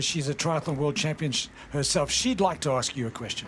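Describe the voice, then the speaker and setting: Noticeable background noise sits behind a man with a South African accent. His pitch variation is ordinary. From South Africa, Cape Town. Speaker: sports commentator. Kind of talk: live commentary. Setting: outdoors at race, rain.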